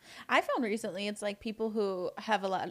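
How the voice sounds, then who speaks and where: An ordinary speaking voice with an American accent moves at a moderate pace with fairly even intonation on a very clean recording with a silent background. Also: woman. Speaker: esthetician student. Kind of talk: casual chat.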